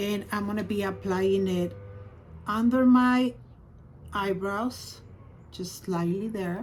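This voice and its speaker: Very slowly and with long, frequent pauses, a woman speaks at a medium pitch with fairly even intonation in a room with audible echo. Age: 60s. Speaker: beauty vlogger. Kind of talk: tutorial. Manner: casual.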